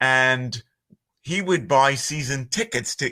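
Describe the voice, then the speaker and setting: A man with a Philadelphia accent speaks at a medium pitch in a bright, sharp tone. His pace is fairly slow, and the recording is very clean with a silent background. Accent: Philly. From Northeast Philadelphia, US. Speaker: voiceover artist. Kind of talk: podcast interview.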